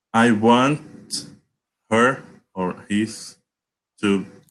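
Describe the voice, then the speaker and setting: A man speaks with a Portuguese accent against a quiet background. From Brazil. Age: 20s. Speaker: English learner. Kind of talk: online language lesson conversation. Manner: halting, many fillers and repetitions.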